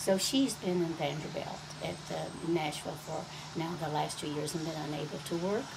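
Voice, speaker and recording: Talking at a moderate pace with an East Tennessee accent, a woman with a fairly low voice is heard through audible room echo and noticeable background noise. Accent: East Tennessee Southern US. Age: 80s+. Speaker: elderly interviewee, descendant of mining family. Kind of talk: oral history interview. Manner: halting, with frequent fillers.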